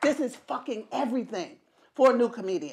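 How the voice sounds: A loud woman talks at a fairly quick pace with big pitch swings. Her voice is fairly high with a slightly mellow tone.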